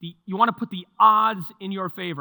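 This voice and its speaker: On a very clean recording with a silent background, a man with a bright, sharp tone and a New York accent talks at a fairly quick pace with ordinary pitch variation. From New York (Mount Vernon). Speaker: market strategist. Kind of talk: presentation to live audience. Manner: conversational.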